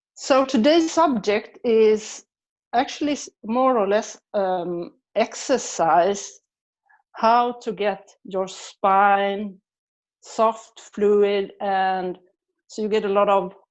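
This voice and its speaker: A very slow voice with a Swedish accent and ordinary pitch variation. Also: woman, medium pitch for a woman. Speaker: body practice teacher and physiotherapist. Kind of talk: guided movement session. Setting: online video session. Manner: hesitant, many fillers.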